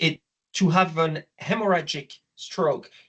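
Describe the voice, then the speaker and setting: The speaker has a French accent. The delivery is somewhat breathy. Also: man. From France. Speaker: obstetrician. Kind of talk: lecture.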